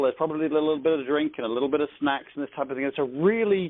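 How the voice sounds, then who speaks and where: A man's fairly high-pitched voice with an English accent and ordinary pitch variation. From England. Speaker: network marketing team leader. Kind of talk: conference call training. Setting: phone conference call.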